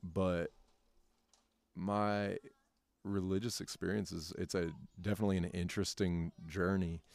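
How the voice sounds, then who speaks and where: With a very deep, low pitch and monotone, flat intonation, a man in an American accent speaks with long, frequent pauses. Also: moderate pace. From North Carolina. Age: 30s. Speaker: educator. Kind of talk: casual interview. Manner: halting, many fillers.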